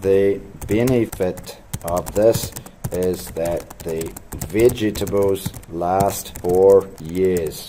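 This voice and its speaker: Noticeable background noise sits behind the speech. A man speaks very slowly with a very deep, low pitch and fairly even intonation. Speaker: teacher. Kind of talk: tutorial.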